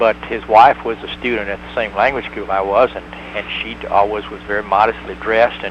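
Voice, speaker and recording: Noticeable background noise sits behind a man with a Tennessee accent. He speaks at a fairly quick pace with big swings in loudness. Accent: Southern US (Tennessee). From US South, Tennessee (rural). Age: 60s. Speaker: former hospital doctor in Hong Kong. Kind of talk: interview.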